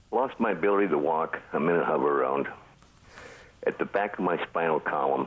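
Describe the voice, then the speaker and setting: A man with a very deep, low voice talks at a fairly quick pace, broken by long, frequent pauses. His loudness stays very even and his pitch varies in an ordinary way, with noticeable background noise behind him. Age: 70s. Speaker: caller. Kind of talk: phone-in health question.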